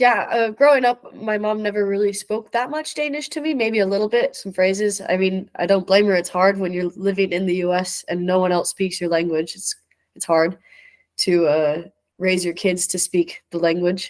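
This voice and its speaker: In an American accent, a woman talks at a moderate pace and a medium pitch with ordinary pitch variation. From US Midwest, near Chicago. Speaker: roundnet player. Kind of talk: interview.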